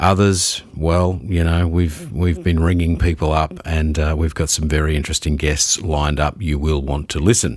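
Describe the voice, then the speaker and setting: At a moderate pace and with hardly any pauses, a man speaks in a very deep, low pitch at very even loudness. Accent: Australian. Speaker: podcast host. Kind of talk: podcast intro and casual review talk.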